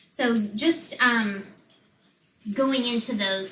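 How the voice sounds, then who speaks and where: A woman speaks with an American accent at a fairly high pitch, varying it in an ordinary way. Audible room echo and noticeable background noise are present. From Florida. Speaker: public health lecturer. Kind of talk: lecture.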